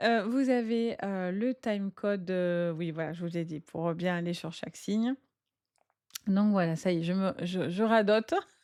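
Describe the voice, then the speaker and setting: The speaker talks at a fairly slow pace in a dark, mellow tone with ordinary pitch variation. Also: woman, medium pitch for a woman. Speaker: tarot and astrology reader. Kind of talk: casual astrology guidance video. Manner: hesitant, many filler sounds.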